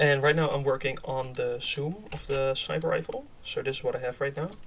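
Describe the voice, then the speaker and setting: There is noticeable background noise behind this man. He talks at a fairly quick pace. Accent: Dutch. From Netherlands. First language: Dutch. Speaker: game developer streamer. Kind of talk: live stream commentary. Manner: halting, many fillers; casual.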